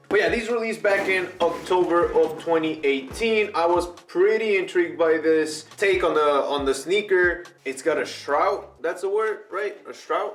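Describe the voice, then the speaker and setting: Against noticeable background noise, a man with a high pitch and an animated tone talks at a moderate pace with hardly any pauses and ordinary pitch variation. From Mexico. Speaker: sneaker youtuber. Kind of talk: unboxing video. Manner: casual, animated.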